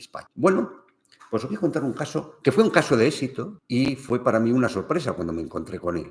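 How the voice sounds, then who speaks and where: With vocal fry and very wide pitch swings, a man speaks at a medium pitch and a moderate pace. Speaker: family business consultant. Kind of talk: livestream talk.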